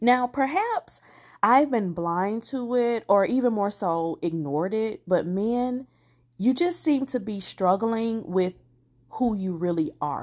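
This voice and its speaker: A woman with a fairly high-pitched voice. She speaks very slowly. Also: lively intonation, very clean recording, silent background. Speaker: podcast host. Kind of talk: solo casual monologue. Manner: laughs often.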